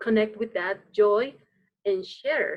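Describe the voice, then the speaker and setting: Speaking with a Spanish accent, a woman's voice sits fairly high in pitch. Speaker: dance teacher. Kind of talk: casual chat. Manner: halting.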